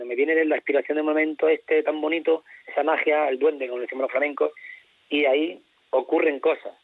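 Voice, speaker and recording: A man rattles along at a very fast pace in a fairly high voice with monotone, flat intonation. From Spain, Castilla-La Mancha (Toledo). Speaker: flamenco singer. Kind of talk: radio interview. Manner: halting.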